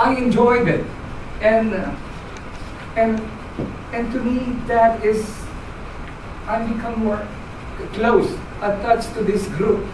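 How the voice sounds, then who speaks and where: A woman with a fairly high pitch and fairly even intonation speaks at a very slow pace with long, frequent pauses, amid noticeable background noise and audible room echo. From Philippines. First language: Filipino language. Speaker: club member giving speech. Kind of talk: prepared speech. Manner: halting.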